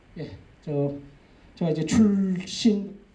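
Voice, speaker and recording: With a dark, mellow tone and lively intonation, a man speaks at a fairly slow pace amid audible room echo. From Jeju, South Korea (Aewol, rural). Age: 50s. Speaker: agricultural cooperative executive, lecturer. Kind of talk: public lecture, personal life story. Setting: lecture hall with audience. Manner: conversational, with fillers.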